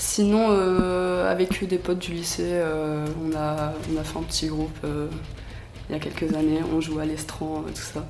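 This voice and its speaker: A woman's fairly slow speech carries audible room echo, with noticeable noise behind it. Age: 20s. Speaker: metal fan and amateur guitarist. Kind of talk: casual interview. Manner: hesitant, many fillers.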